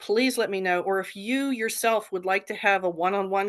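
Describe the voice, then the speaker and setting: Here is a plain, everyday voice from a woman at medium pitch. She talks at a moderate pace over a quiet background. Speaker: fire safety council presenter. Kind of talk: presentation in online forum meeting.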